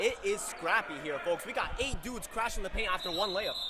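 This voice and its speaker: Noticeable background noise is present. Over it, a man talks at a very fast pace. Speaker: sports commentator. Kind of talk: live commentary. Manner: animated.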